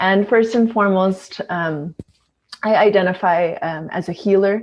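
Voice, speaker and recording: Medium in pitch, a woman speaks at a fairly slow pace with fairly even intonation. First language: Tagalog. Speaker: organizational consultant and facilitator. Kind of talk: panel introduction.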